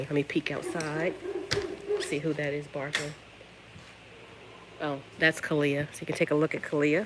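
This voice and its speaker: Soft-spoken speech at a moderate pace, with noticeable background noise. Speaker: dog breeder. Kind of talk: live stream tour. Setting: outdoors.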